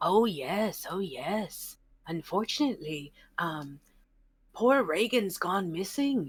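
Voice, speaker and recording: At a fairly slow pace, a woman puts on a character voice at medium pitch in a very clean recording with a silent background. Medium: actual play. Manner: rambling, gossipy.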